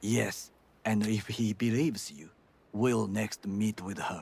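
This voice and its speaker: Using a put-on character voice, a man speaks at a fairly slow pace with a fairly low pitch, ordinary pitch variation and big swings in loudness. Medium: video game. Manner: formal, stiff, no contractions.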